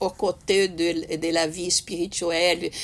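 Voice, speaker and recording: Her fairly low pitch and monotone, flat intonation come at a very slow pace as this woman talks. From Brazil. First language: Portuguese (speaking French). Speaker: spiritist speaker. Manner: halting, many hesitations and repetitions.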